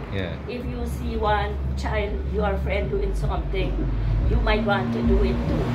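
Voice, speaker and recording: A woman speaks at a fairly slow pace. Loud background noise runs underneath. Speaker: interviewee. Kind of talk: interview answer. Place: shop. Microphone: phone near.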